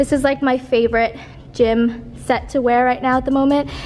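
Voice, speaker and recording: A woman speaks at a moderate pace with a high pitch. Her intonation is monotone and flat, with faint music in the background. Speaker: fitness vlogger. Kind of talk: casual vlog chat. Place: gym. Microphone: phone near.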